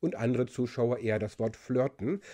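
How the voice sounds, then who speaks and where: The speaker is a man with a dark, mellow tone. The background is quiet. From Germany. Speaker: linguist and video presenter; presenter. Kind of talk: explainer video. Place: home room. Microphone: studio mic.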